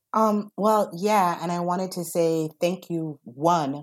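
A woman with a fairly low pitch speaks at a fairly slow pace, using ordinary pitch variation. She has a plain, everyday voice. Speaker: food systems organization director. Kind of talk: casual conversation, remote panel discussion.

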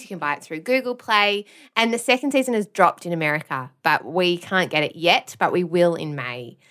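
A woman with an Australian accent talks at a fairly quick pace with very wide pitch swings on a very clean recording with a silent background. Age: 30s. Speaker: podcast producer and former teacher. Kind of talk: casual chat.

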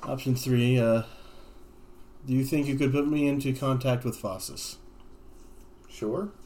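At a fairly slow pace and with long, frequent pauses, a man of medium pitch speaks in a dark, mellow tone with ordinary pitch variation. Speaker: tabletop game player. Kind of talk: tabletop roleplaying podcast, in-character and banter.

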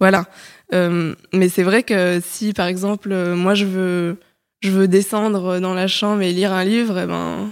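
On a very clean recording with a silent background, a woman speaks at a very slow pace with monotone, flat intonation. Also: medium pitch for a woman. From Paris, France. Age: 20s. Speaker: podcast guest. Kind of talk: casual chat.

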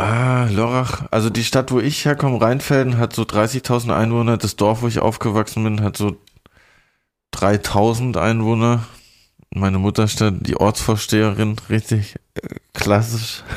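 In a very clean recording with a silent background, a man speaks at a fairly slow pace and medium pitch, with fairly even intonation and very even loudness. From southern Baden, near Basel. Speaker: podcast host. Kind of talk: casual chat. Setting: studio.

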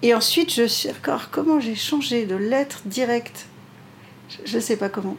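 Her voice sits fairly high for a woman. Pitch variation is ordinary as she talks. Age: 50s. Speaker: pastry chef and restaurant owner. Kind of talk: interview conversation.

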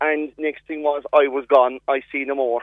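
A man speaks in a rural Cork accent. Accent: rural Cork Irish. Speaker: farmer. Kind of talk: radio interview. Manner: halting.

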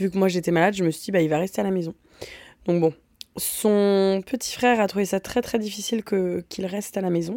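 At a fairly quick pace, a woman speaks at medium pitch in a dark, mellow tone with fairly even intonation. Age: 30s. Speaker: podcast host. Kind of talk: casual chat. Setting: home, in a room used for recording.

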